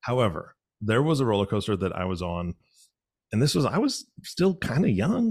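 Recorded very cleanly with a silent background, a man speaks at a moderate pace in a somewhat breathy, medium-pitched voice with very wide pitch swings. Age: 40s. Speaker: podcast co-host. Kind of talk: casual chat. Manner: animated.

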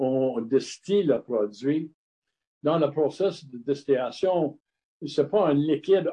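Speaking very slowly in an English accent, a man uses a fairly high pitch with ordinary pitch variation. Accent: English-speaker accent in French. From Montreal, Quebec (Lachine), Scottish family. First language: English (speaking French). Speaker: craft distiller and former brewer. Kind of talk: interview. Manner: halting, many hesitations.

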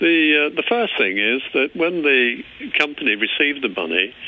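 At a moderate pace, the man talks with lively intonation. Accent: English. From England. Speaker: former car company employee. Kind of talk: casual interview. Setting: phone call.

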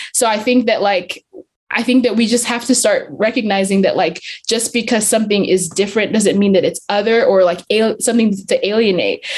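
A woman with an American accent speaks fairly quickly in a fairly high pitch. Her voice is somewhat breathy, with very even loudness. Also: fairly even intonation. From Zambia, England and US Southwest. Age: young. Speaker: young church leader. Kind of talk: casual chat.

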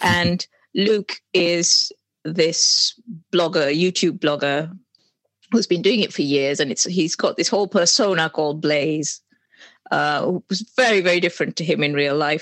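A woman with an ordinary speaking voice talks at a fairly slow pace and fairly low pitch. Her loudness stays very even, and her pitch varies in an ordinary way. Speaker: author. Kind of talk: casual interview chat.

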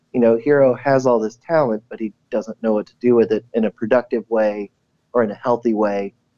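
With fairly even intonation, a man speaks in a normal speaking voice at a medium pitch and a fairly quick pace. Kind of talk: casual chat.

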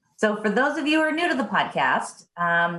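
A woman's somewhat breathy voice. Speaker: podcast host. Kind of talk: casual chat.

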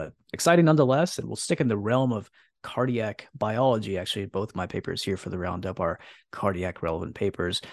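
A man's normal speaking voice, fairly low in pitch, at a fairly quick pace with lively intonation over a quiet background. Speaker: podcast host. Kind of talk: casual interview and news roundup.

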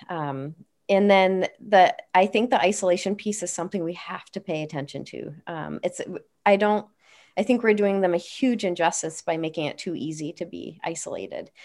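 The speaker uses a normal speaking voice at a moderate pace. Pitch varies in an ordinary way while loudness swings widely. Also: woman, medium pitch for a woman. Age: 40s. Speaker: occupational therapist. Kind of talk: casual chat. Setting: video call.

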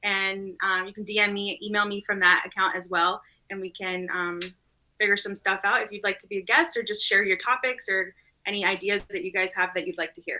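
An American-accented woman's bright, sharp voice at a fairly quick pace, with fairly even intonation and big swings in loudness. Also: medium pitch for a woman. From Northeast Texas. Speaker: athletic trainer, doctoral student. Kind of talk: casual panel discussion.

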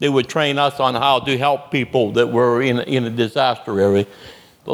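At a moderate pace, the speaker talks in a plain, everyday voice. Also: man. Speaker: Vietnam veteran. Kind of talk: storytelling at a live event.

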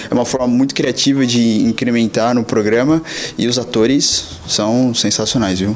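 A man at a moderate pace with fairly even intonation over noticeable background noise. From São Paulo coast, Brazil. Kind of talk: recorded voice message.

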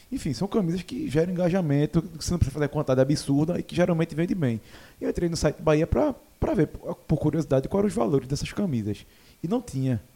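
A man talks very fast with a fairly high pitch, a dark, mellow tone and lively intonation. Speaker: sports podcast host. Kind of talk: casual chat. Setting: studio.

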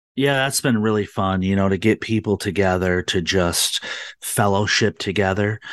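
A man's fairly low voice in an American accent, with fairly even intonation and a moderate pace, dry and close with no echo over a quiet background. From Michigan. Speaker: political activist and group founder. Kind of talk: talk radio interview. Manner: hesitant, many fillers.

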